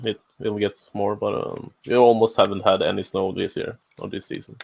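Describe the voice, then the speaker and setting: A man talks at a moderate pace. His voice is quiet. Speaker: maker streamer. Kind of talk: casual chat. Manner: halting.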